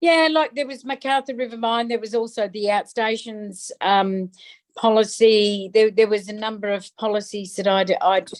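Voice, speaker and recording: A woman talks in an Australian accent at a fairly high pitch. Her pitch varies in an ordinary way. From Darwin, Northern Territory, Australia. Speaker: politician, federal member of parliament. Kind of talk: interview answer.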